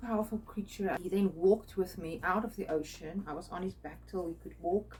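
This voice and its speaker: The speaker is a woman with a non-native accent. She talks at a moderate pace. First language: not English. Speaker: spiritual artist and video creator. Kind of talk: personal storytelling monologue. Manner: halting, many fillers.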